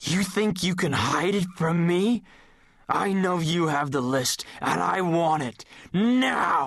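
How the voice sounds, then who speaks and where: A man uses a put-on character voice at a high pitch. He talks at a fairly slow pace. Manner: roaring, demanding, menacing.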